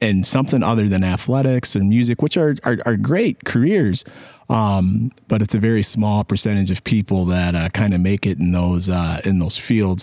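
This man has an American accent and an unremarkable speaking voice, pitched fairly low. His pace is moderate, his pitch varies in an ordinary way, and his loudness stays very even. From US Midwest, Sterling, Illinois. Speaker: community organization communications volunteer. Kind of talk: casual interview.

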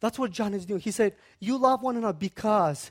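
The voice belongs to a man. He has a Central Asian accent. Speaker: guest preacher. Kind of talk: sermon.

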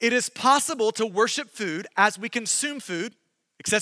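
It is an unforced reading voice. Nothing much stirs in the quiet background.

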